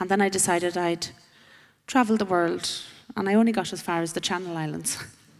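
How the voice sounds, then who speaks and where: A woman with an Irish accent speaks at a very fast pace with fairly even intonation. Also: medium pitch for a woman. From Ireland. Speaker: panelist sharing personal testimony. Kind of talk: testimony.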